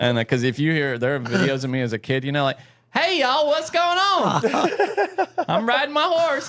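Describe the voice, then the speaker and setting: There is noticeable background noise behind this man. His loudness stays very even throughout. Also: moderate pace. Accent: American. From US South. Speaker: podcast co-host. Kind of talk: casual chat. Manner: animated.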